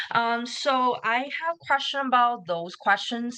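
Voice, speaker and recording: In a Chinese accent, a woman speaks at a fairly slow pace in a bright, sharp tone against a quiet background. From China. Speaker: nursing applicant. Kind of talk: question in webinar. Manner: halting.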